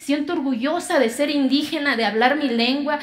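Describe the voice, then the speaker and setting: Her pitch is high and varies in an ordinary way as this woman speaks at a moderate pace. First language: Zapotec (speaking Spanish). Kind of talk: TEDx talk.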